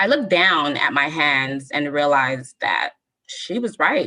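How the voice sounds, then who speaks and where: In a Southern Californian accent, a woman speaks in a bright, sharp tone with very wide pitch swings. She keeps a fairly slow pace. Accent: Southern California American. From Southern California (Lynwood area). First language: Spanish. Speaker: storyteller. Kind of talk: reading aloud.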